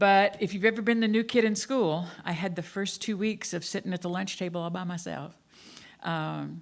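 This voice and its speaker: In an American accent, the speaker talks at a moderate pace with fairly even intonation over a silent background in a very clean recording. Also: woman, medium pitch for a woman. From US South. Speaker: minister. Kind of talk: sermon. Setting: church.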